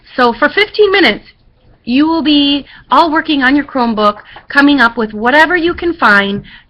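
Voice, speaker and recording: A woman speaks in a raised, projected voice with a high pitch. Her tone is bright and sharp, her intonation lively. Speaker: schoolteacher. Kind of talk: classroom instructions. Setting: webcam recording. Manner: fast.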